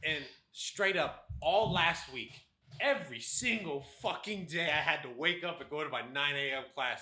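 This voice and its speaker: A man speaks with a fairly high pitch. Audible room echo surrounds his voice. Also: ordinary pitch variation. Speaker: podcast co-host. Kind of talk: casual chat. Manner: loud; fast, speeds up when excited.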